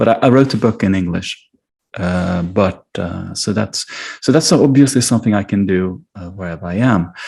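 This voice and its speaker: A man with a Swedish accent speaks in a very deep, low voice with ordinary pitch variation. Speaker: philosopher and author. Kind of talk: interview. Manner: halting.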